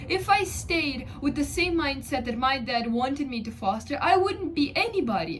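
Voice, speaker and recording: A woman with a non-native accent speaks at a moderate pace, her pitch swinging very widely. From third world country. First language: not English. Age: 20s. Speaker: vlogger. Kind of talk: personal advice vlog. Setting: alone at home. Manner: emphatic, repetitive.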